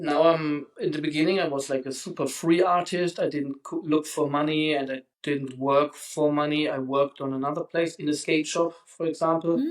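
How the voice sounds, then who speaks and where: A man with a German accent and a fairly high pitch talks at a moderate pace in a monotone, flat intonation, with hardly any pauses. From Germany. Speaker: street artist. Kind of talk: interview. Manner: halting.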